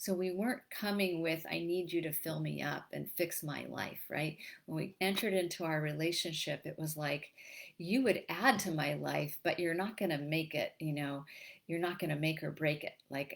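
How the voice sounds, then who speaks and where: This woman's fairly low voice carries vocal fry, moving at a moderate pace with ordinary pitch variation. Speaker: relationship coach. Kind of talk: live-streamed talk to an online group. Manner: halting, with many repeated words.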